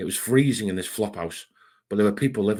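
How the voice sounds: Quiet background behind a natural reading voice, with ordinary pitch variation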